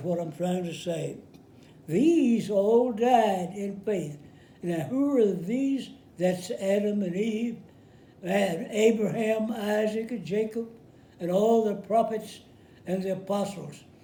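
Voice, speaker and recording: Speech with a dark, mellow tone comes at a very slow pace with long, frequent pauses, and audible room echo surrounds it. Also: man. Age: 80s+. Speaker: war veteran. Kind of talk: sermon. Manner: halting.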